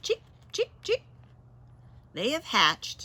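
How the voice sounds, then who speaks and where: This is a put-on character voice from a woman. It sits at an extremely high pitch. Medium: read story. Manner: calm, matter-of-fact.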